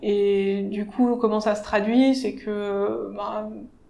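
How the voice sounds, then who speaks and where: The woman's medium-pitched speech carries audible room echo. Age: 40s. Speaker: civil engineer. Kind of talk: interview. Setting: office.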